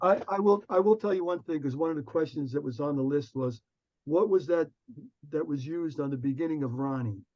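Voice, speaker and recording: Speaking at a fairly quick pace in a New Jersey accent, a man with a fairly high pitch and a dark, mellow tone uses ordinary pitch variation. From US, Newark, New Jersey. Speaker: music arranger and producer. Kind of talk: casual Q&A chat. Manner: halting with repetitions.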